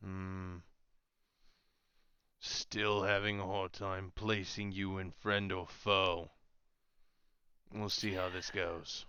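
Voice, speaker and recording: A put-on character voice delivers everything in a flat monotone. The pace is very slow, broken by long, frequent pauses. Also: man, very deep, low pitch for a man. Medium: actual play. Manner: gruff, slow, terse.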